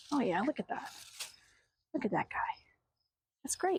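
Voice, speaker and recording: A soft-spoken woman talks with lively intonation in a dark, mellow tone. The recording is very clean, with a silent background. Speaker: artist and vlogger. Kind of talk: casual vlog. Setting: outdoors in garden.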